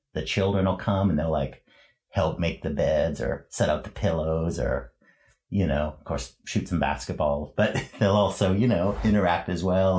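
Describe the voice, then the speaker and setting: A man with a Canadian accent, a very deep, low pitch, ordinary pitch variation and a somewhat breathy voice, at a moderate pace, in a very clean recording with a silent background. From western Canada, Prince George, British Columbia. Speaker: church volunteer. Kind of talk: interview testimony.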